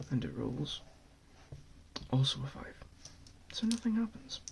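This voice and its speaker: A soft-spoken man whispering over noticeable background noise. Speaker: ASMR channel host and board gamer. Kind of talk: whispered ASMR board game overview and gameplay. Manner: whispered, soft-spoken.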